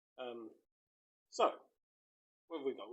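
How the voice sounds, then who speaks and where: A man with a rural Australian accent. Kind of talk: casual talk to camera. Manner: rambling, hesitant.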